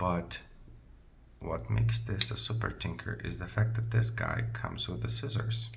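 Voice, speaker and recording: A man's very deep, low voice with a non-native accent, very wide pitch swings and audible room echo. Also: moderate pace. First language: not English. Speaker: product reviewer. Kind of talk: product review tutorial. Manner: halting, many fillers; casual, conversational.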